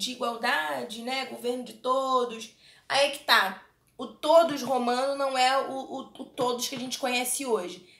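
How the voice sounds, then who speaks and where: A woman speaks with a Brazilian accent. Her pitch is high and her pace fairly slow. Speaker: history teacher. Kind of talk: online lecture. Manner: casual, conversational.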